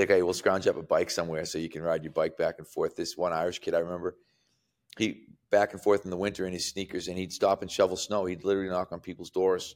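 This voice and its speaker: A man at a very fast pace in a very clean recording with a silent background. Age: 60s. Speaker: strength and conditioning coach. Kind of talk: casual chat.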